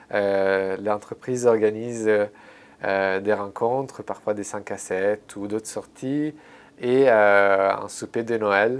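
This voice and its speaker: Speaking in an Italian accent, a man uses a fairly low pitch and a very slow pace. His intonation is monotone and flat. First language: Italian (speaking French). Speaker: translator, former intern. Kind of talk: interview. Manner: halting, many fillers and repetitions.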